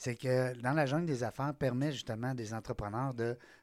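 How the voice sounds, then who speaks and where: The speaker is a man with a Quebec accent. The recording is very clean, with a silent background. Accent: Québécois French. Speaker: podcast host. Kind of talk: casual chat. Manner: animated.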